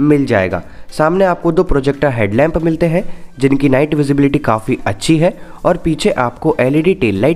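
With music in the background, the speech moves at a fairly slow pace, with lively intonation and very even loudness. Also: man, fairly high pitch for a man. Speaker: motorcycle YouTuber. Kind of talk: product review video.

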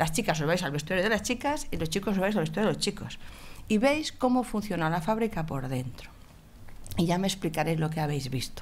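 A woman talks at a fairly quick pace in a fairly low voice. Her tone is animated, with very wide pitch swings. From Asturias, Spain. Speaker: HR director; speaker. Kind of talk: conference talk. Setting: stage with audience. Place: meeting room. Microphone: podium.

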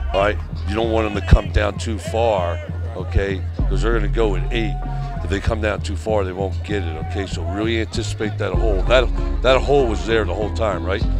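A man talks at a fairly quick pace with ordinary pitch variation, the sound dry with no echo and clear music in the background. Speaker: football coach. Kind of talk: on-field coaching instructions. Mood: upbeat, joking. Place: stadium. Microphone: lapel.

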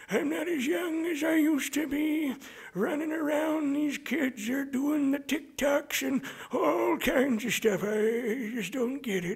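A put-on character voice, high-pitched and at a fairly slow pace

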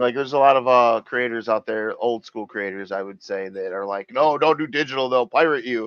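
A man speaks in an unremarkable speaking voice at medium pitch, with ordinary pitch variation, a fairly quick pace and hardly any pauses. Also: dry sound with no echo. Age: 40s. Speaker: podcast host. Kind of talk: casual chat. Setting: video call. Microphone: headset.

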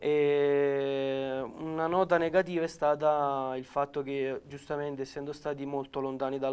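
A man speaks at a fairly high pitch and a fairly slow pace. His intonation is monotone and flat. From Campania, Naples province; Campania, Italy. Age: 20s. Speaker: amputee footballer and paratrooper; interviewee. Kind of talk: interview. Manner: halting, many repetitions and fillers. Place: studio. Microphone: lapel.

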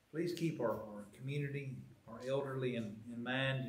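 Audible room echo and light background noise surround speech delivered at a moderate pace. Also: man. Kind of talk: announcements and public prayer. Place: church. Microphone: podium.

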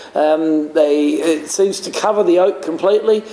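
A man talks at a moderate pace, and audible room echo surrounds his words. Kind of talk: product presentation talk. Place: bar.

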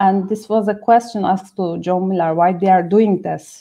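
A woman with a Turkish accent, dark, mellow tone, quiet background. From Turkey. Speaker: SEO specialist. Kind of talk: live webinar discussion. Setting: video call. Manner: excitable. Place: home room. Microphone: video call.

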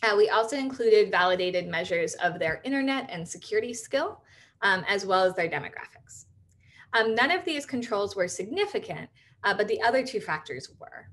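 Her pitch swings very widely as a woman talks at a fairly quick pace. Her voice sits fairly high. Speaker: computer science researcher. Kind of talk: lecture. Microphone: webcam.

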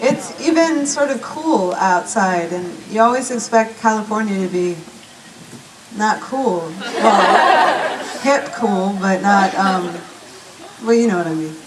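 Over loud background noise, a woman speaks very slowly. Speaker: performing poet. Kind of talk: stage banter. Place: stage.

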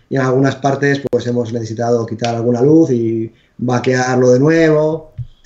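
With a plain, everyday voice, a man speaks at medium pitch and a moderate pace with fairly even intonation. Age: 40s. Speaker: video game developer. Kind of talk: interview.

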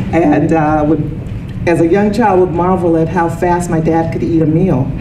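A woman's very deep, low voice at a moderate pace, with noticeable background noise. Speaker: speaker. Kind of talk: lecture. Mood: warm, light humor. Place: meeting room. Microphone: handheld.

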